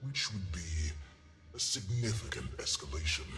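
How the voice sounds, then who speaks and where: Over clear background noise, a man uses a put-on character voice with a very deep, low pitch, lively intonation and a fairly slow pace. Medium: video game. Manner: formal, measured.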